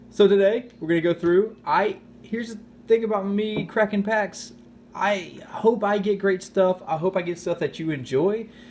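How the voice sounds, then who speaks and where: This man's voice sits high for a man and moves through ordinary pitch variation. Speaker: YouTube card-opening host. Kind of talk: casual unboxing commentary. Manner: fast.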